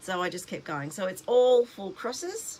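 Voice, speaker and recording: Speech goes along at a moderate pace. It is delivered in an Australian accent. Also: woman. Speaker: cross-stitch vlogger. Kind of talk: casual show-and-tell vlog. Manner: words running together, slightly mumbled; chatty, hesitant with fillers.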